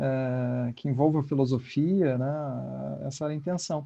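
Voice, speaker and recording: A man's dark, mellow tone, with fairly even intonation at a fairly slow pace. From Curitiba, Paraná, southern Brazil. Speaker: philosophy professor and podcaster. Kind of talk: online panel discussion. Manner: hesitant, many fillers.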